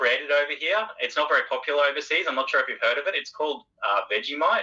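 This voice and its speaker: A man speaks with an Australian accent. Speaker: IT worker. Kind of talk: interview answer.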